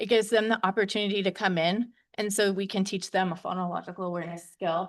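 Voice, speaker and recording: A woman speaks at a medium pitch with a shaky voice and fairly even intonation. Her pace is fairly quick against a quiet background. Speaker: early childhood educator. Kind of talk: board meeting presentation.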